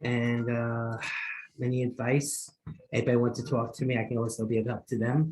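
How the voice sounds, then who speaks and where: A man with a New York accent, fairly quick and monotone, his intonation flat. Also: medium pitch for a man. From Queens, New York. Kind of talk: meeting feedback.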